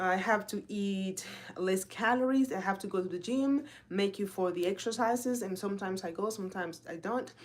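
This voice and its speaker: With a Spanish accent and an animated tone, a woman speaks at a moderate pace, her medium pitch showing ordinary variation. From Dominican Republic. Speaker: health and fitness coach. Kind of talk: casual live talk.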